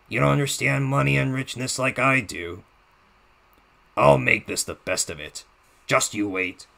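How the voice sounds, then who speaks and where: A man puts on a raspy, menacing character voice at a very deep, low pitch, with very wide pitch swings, big swings in loudness and a moderate pace. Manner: menacing, taunting.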